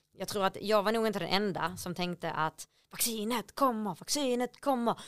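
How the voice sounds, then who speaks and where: The recording is very clean, with a silent background and a dry, close sound free of echo. Pitch varies in an ordinary way at a moderate pace. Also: woman. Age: 30s. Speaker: podcast co-host. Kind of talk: casual chat.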